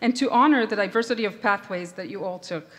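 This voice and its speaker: Speaking at a fairly quick pace with an Israeli accent, a woman uses lively intonation and a fairly high pitch. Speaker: professor. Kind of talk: commencement address. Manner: formal.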